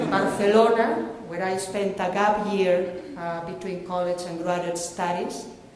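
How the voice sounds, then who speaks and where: With a Galician accent, a woman talks at a fairly slow pace and medium pitch with fairly even intonation, while audible room echo and noticeable background noise come through. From Spain, Galicia (Vigo). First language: Galician and Spanish. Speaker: professor. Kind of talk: ceremonial address.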